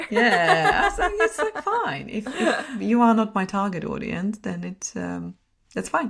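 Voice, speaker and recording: Music sounds in the background. The woman talks at a fairly slow pace. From Czech Republic. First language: Czech. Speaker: personal brand strategist and photographer. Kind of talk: podcast interview.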